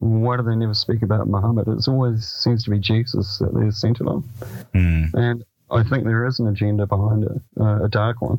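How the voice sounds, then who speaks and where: With a New Zealand accent, a man of medium pitch talks at a fairly quick pace with fairly even intonation. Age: 50s. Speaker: author and paranormal researcher. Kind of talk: radio interview.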